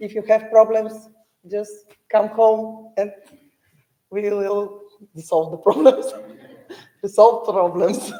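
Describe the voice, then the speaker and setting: Very slow pace, in a Bulgarian accent. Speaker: parent of graduate. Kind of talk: speech to graduate. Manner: halting.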